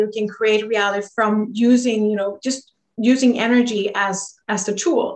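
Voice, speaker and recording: Speaking at a moderate pace, a woman with a Swedish accent uses a fairly high pitch and fairly even intonation. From Sweden. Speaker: energy healer. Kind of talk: interview.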